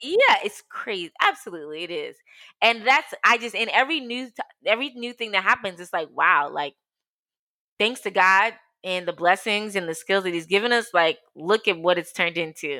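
Animated and lively in intonation, a woman with an American accent speaks in a bright, sharp tone. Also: medium pitch for a woman, moderate pace. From US, outside Washington DC (Ghanaian parents). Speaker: entrepreneur, co-founder of women's platform. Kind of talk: casual interview.

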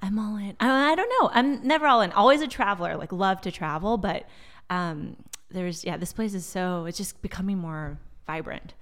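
Speaking with a General American accent, a woman uses a medium pitch, lively intonation and a moderate pace. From Silicon Valley, California. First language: Portuguese. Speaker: marketing executive. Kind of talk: casual interview.

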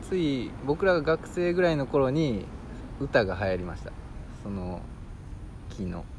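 A man in a Kansai accent, fairly slow, with long, frequent pauses, very wide pitch swings and audible room echo. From Amagasaki, Hyogo (Kansai). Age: 30s. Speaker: podcast co-host. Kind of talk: casual chat. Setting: outdoors in a park.

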